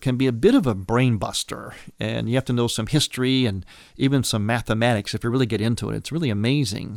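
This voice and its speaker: A man with an unremarkable speaking voice, medium pitch and fairly quick pace, on a very clean recording with a silent background and dry, close sound with no echo. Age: 60s. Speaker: priest and radio host. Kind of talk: religious radio talk.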